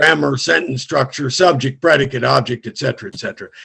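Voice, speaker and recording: A man talks with a fairly high pitch and vocal fry. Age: 60s. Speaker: comedian. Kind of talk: stand-up.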